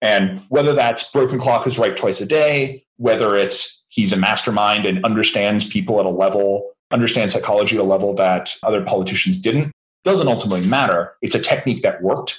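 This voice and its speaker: A man's ordinary speaking voice, fairly low in pitch with ordinary pitch variation, at a fairly quick pace with hardly any pauses and very even loudness. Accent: American. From rural Pennsylvania. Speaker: author and CEO. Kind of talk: interview.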